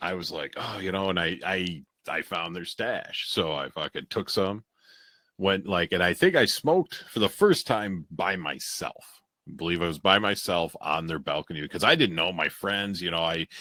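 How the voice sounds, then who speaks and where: Recorded very cleanly against a silent background, with a dry, close sound and no echo, a man with an American accent speaks at a moderate pace in a very deep, low pitch, with a bright, sharp tone and ordinary pitch variation. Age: 40s. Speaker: podcast co-host. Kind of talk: casual chat.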